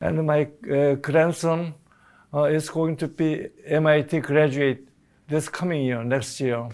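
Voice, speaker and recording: A man with a Korean accent, fairly high in pitch, with fairly even intonation at a very slow pace over a quiet background. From South Korea. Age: 80s+. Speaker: retiree sharing family history; interviewee. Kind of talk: personal testimony interview. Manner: halting, frequent uh fillers. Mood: reflective, warm. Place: studio. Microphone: lapel.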